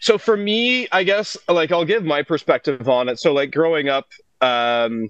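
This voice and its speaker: A man with a Franco-Ontarian accent speaks at a fairly high pitch. His voice moves through very wide pitch swings. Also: moderate pace. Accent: Franco-Ontarian Canadian English. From Northern Ontario, Canada (North Bay, Francophone). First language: French. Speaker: musician and producer. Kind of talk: casual chat.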